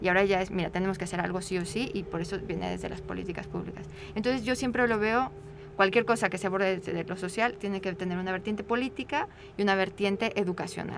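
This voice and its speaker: Amid noticeable background noise, a woman speaks at a very fast pace with fairly even intonation. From Mexico. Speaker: social anthropologist. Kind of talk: radio interview.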